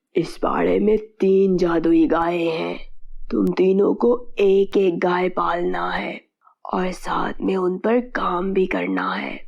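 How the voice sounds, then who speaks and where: A raspy, cartoonish character voice delivers its lines at a fairly slow pace. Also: woman, medium pitch for a woman. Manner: calm, authoritative.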